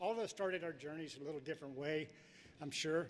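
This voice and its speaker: A man with a high voice speaks in a fairly even intonation. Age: 70s. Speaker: professional angler. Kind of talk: acceptance speech. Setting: stage with audience.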